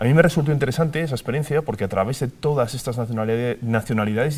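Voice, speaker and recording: A man with a Spanish accent speaks at a very fast pace in a somewhat breathy, medium-pitched voice with ordinary pitch variation. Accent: Spanish (Spain), intact. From Spain. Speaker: TV presenter, migrant. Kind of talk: TV panel discussion.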